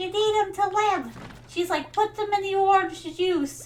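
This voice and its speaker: A woman puts on a character voice in a Brooklyn accent, pitched extremely high. She keeps a moderate pace over clear background noise. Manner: insistent, scolding.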